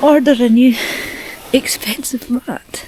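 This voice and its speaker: A woman whispers at a fairly slow pace. Background noise is noticeable. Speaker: solo hiking and wild camping vlogger. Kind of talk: casual vlog to camera. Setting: outdoors in a tent. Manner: whispering.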